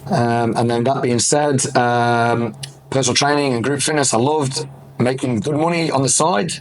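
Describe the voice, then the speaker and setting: A man with an English accent speaks at a medium pitch and moderate pace, with fairly even intonation and very even loudness. Noticeable background noise and audible room echo come through. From England. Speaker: fitness business owner. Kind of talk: podcast interview.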